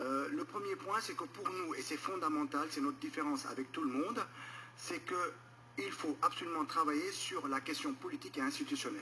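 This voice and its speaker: A man talks at a moderate speed while noticeable background noise carries on. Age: 60s. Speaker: political candidate. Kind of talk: political interview. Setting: radio studio.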